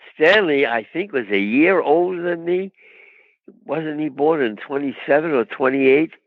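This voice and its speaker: A man with a New York accent and a fairly high pitch, lively intonation and a moderate pace. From New York, Brooklyn. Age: 90s. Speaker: actor. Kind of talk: interview.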